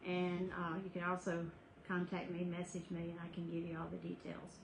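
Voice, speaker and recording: Noticeable background noise is present. Over it, a woman talks at a fairly quick speed. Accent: Southern US. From US South. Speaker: skincare business owner. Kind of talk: sales pitch. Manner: casual.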